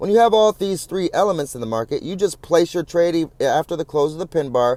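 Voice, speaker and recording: With very wide pitch swings, a man talks at a fairly quick pace in a dry, close sound with no echo. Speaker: trading instructor. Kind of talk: lecture. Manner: fast.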